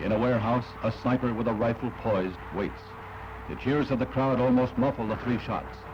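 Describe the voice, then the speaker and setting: A man's medium-pitched voice at a fairly quick pace, ordinary pitch variation, and noticeable background noise. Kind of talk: newsreel narration. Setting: archival film soundtrack. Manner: solemn, dramatic.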